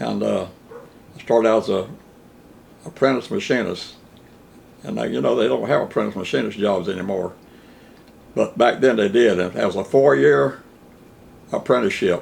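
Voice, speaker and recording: Pausing long and often, a man with a fairly low pitch and vocal fry speaks at a moderate pace while his pitch swings very widely. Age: 80s+. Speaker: retired locomotive machinist. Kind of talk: interview answer.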